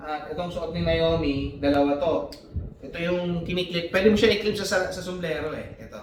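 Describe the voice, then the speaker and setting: A man's high-pitched voice at a moderate pace, ordinary pitch variation, with audible room echo and noticeable background noise. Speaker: family vlogger. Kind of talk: unboxing vlog. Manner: loud; casual.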